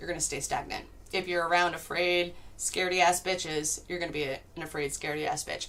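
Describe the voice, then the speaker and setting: The delivery is very fast. Its intonation stays monotone and flat. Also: woman, fairly low pitch for a woman. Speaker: tarot reader. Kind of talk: live stream tarot reading. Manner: casual, profane.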